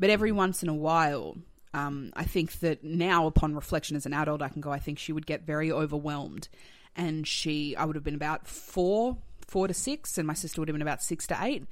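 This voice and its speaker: With an Australian accent, a woman talks at a fairly quick pace in a very deep, low pitch with ordinary pitch variation. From Australia, Tasmania and Melbourne. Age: 30s. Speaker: comedian and writer. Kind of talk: casual chat.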